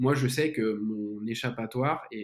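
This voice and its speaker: The speaker is a man with an unremarkable speaking voice. Pitch sits in the middle range and varies in an ordinary way. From France, Lyon. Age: 20s. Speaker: entrepreneur. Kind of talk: casual interview.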